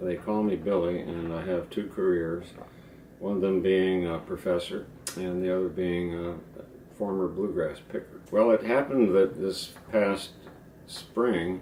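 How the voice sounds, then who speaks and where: Noticeable background noise surrounds a man with a very deep, low voice and an American accent. He talks at a fairly slow pace with fairly even intonation. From Ohio, US Midwest. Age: 70s. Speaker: professor and former bluegrass musician. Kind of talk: interview, personal storytelling. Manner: relaxed, conversational.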